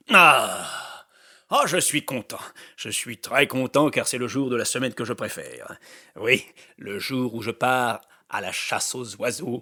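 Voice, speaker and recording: A put-on character voice from a man, gruff and medium in pitch, at a fairly slow pace. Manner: cheerful, gleeful.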